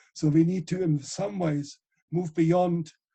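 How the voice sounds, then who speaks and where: A dark, mellow tone marks the voice. There is a somewhat breathy quality as well. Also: man. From Germany, Ruhr area (Essen). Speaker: ecologist and author. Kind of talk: interview.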